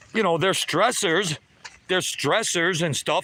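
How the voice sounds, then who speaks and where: A high-pitched male voice with ordinary pitch variation, set against noticeable background noise. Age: 60s. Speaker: livestreamer. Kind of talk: casual chat. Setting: outdoors.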